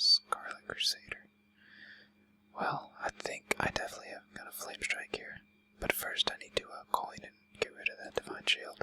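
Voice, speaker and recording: A man whispering at a moderate pace, dry and close with no echo, over noticeable background noise. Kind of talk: gameplay commentary. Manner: whispered.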